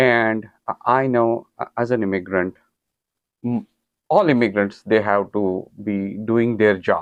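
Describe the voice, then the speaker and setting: A man with an Indian accent at a very slow pace, medium pitch and fairly even intonation, with long, frequent pauses. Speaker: talk show host. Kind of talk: interview.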